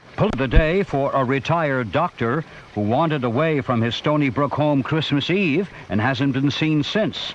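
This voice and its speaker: There is noticeable background noise as a man speaks at a moderate pace. His pitch is fairly high, and his intonation is lively. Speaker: radio news anchor. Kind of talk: all-news radio broadcast read.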